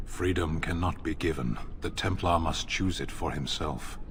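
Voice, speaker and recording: Over loud background noise, a man uses a put-on character voice with a very deep, low pitch at a moderate pace. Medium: video game. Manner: stern, blunt.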